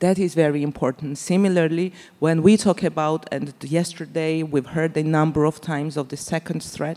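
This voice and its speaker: In a Georgian accent, a woman speaks at a moderate pace with a very deep, low pitch and a dark, mellow tone. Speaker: politician; speaker. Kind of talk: panel discussion. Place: stage. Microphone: handheld.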